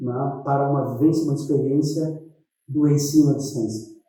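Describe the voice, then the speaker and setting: Audible room echo surrounds the recording. The speaker is a man with a fairly high pitch. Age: 60s. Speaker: educational technician at a federal school. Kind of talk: interview testimony. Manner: hesitant, many fillers.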